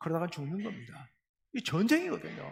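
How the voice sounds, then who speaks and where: At a very fast pace, a man speaks. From South Jeolla, Korea (Beolgyo/Suncheon). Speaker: pastor. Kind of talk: sermon. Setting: church. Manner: formal.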